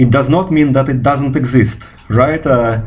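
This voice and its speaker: A man speaks with a Russian accent at a medium pitch. His pace is fairly slow, and there is audible room echo. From Russia, Moscow. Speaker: physicist. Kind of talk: video response monologue. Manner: halting, many fillers.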